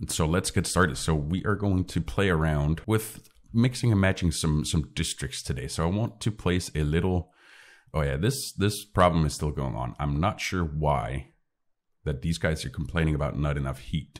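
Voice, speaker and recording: A man talks in a very deep, low pitch with vocal fry. His pace is moderate and his intonation lively. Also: very clean recording, silent background. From Northern Europe. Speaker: gaming YouTuber. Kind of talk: gameplay commentary. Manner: casual, thinking aloud with hesitations.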